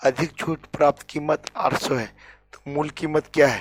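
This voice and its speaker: The sound is dry and close, with no echo. A man speaks at a very slow pace. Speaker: maths teacher. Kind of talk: tutorial.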